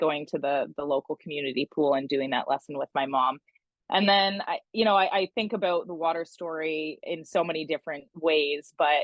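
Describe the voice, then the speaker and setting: A woman with a Canadian accent speaks in a very deep, low voice. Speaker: swim school executive. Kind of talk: podcast interview.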